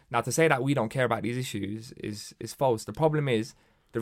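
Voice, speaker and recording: In a London accent, the speaker talks at a very fast pace with ordinary pitch variation, on a very clean recording with a silent background. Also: man. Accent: London English, multicultural London. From London, Hackney. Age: 20s. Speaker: local councillor and charity chief executive. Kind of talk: casual chat.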